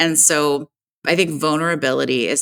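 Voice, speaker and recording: With vocal fry and a very deep, low pitch showing ordinary variation, a woman speaks at a fairly slow pace in a dry, close, echo-free sound, recorded very cleanly against a silent background. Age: 40s. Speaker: podcast co-host. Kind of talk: casual chat.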